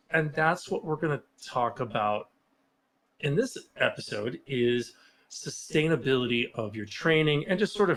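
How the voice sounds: This man's voice has a fairly bright tone and lively intonation.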